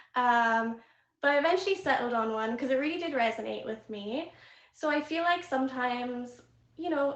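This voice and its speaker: A woman with a slight Irish accent speaks at a moderate pace and a high pitch. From Ireland. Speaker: live streaming platform VIP manager. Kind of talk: casual chat on live stream.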